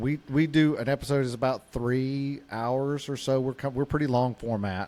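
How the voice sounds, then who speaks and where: In a Southern US accent, a man with a medium pitch and a dark, mellow tone speaks at a moderate pace with fairly even intonation. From US South. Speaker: podcast co-host. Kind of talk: casual chat.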